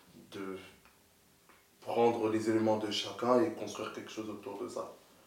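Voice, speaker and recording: The intonation is fairly even. Audible room echo and noticeable background noise are present. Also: man. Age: 20s. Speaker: entrepreneur. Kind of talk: casual chat.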